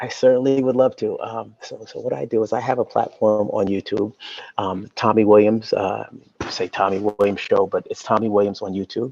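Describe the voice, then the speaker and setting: This soft-spoken man talks at a moderate pace with an American accent. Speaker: YouTube show host, celebrity's brother. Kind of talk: interview. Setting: video call from a library. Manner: halting, many fillers.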